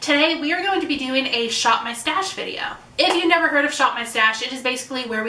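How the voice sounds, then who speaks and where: Talking very fast with lively intonation, a woman is heard through audible room echo and noticeable background noise. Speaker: beauty youtuber. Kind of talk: casual makeup tutorial vlog.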